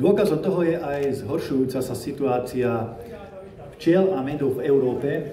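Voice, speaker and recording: Lively intonation comes through at a fairly slow pace, with noticeable background noise and audible room echo. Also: man. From Slovakia. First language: Slovak (speaking Hungarian). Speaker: politician. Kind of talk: conference speech.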